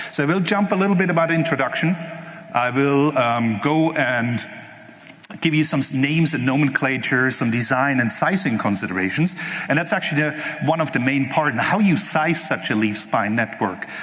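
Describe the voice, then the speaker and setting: A man talks with lively intonation and very even loudness. Noticeable background noise and audible room echo fill the recording. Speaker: conference speaker, network engineer. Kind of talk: technical conference talk. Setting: stage with live audience. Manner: fast.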